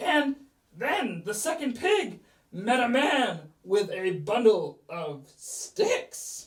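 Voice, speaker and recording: This put-on character voice sits fairly high in pitch and moves at a very slow pace. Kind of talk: children's story reading.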